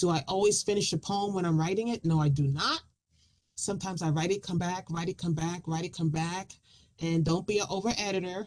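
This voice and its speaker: Delivered at a fairly quick pace with fairly even intonation, this is an unremarkable speaking voice. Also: woman, fairly low pitch for a woman. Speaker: poet. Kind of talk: talk about writing and performing poetry.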